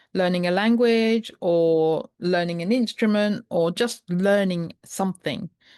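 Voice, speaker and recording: Over a quiet background comes a woman's normal speaking voice at medium pitch. Her intonation is fairly even. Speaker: podcast host, primal health coach. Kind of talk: podcast conversation.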